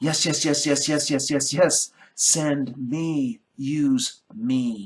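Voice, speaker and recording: A man puts on a character voice, fairly high in pitch and at a very slow pace. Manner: eager, excited.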